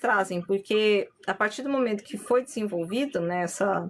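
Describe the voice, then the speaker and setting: A woman with lively intonation talks at a fairly slow pace amid noticeable background noise. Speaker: spiritual medium and content creator. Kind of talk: live stream talk on spirituality. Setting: live stream.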